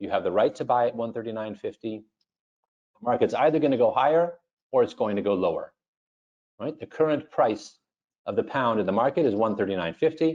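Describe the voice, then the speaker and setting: A man speaks at a fairly quick pace. His tone is dark and mellow. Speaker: options trading educator. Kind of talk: webinar lecture. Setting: online webinar.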